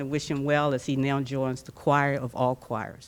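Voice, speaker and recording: Loud and monotone, a woman speaks with flat intonation at a fairly slow pace with a very deep, low pitch. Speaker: board chair of a chorus organization. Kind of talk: eulogy. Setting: memorial service at a golf club.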